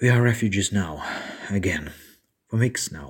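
A man's somewhat breathy voice moves at a moderate pace, its pitch varying in an ordinary way. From eastern Ukraine, Severodonetsk. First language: Ukrainian or Russian. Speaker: war refugee. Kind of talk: testimony.

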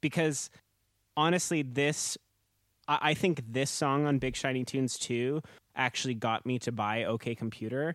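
At a moderate pace and with ordinary pitch variation, a man of medium pitch speaks in an ordinary speaking voice, the sound dry and close with no echo in a very clean recording with a silent background. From Canada, Manitoba early childhood. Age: 30s. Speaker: podcast co-host. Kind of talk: casual chat.

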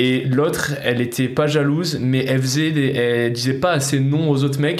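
The intonation is fairly even. Audible room echo and noticeable background noise fill the recording. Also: man. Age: 20s. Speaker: former soldier. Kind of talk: casual chat.

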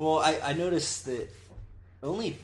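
A somewhat breathy man with an American accent, with audible room echo. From Florida, US. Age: 20s. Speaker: musician. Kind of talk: casual chat. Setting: host's house.

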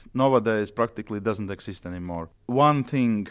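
A man with a Latvian accent and a fairly low pitch on a very clean recording with a silent background. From Latvia, Riga. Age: 40s. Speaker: orchestra conductor. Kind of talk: interview.

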